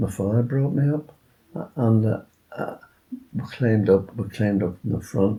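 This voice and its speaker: This man's fairly low, dark and mellow voice comes out somewhat breathy at a moderate pace. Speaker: war-time childhood witness, oral history interviewee. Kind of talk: oral history interview answer.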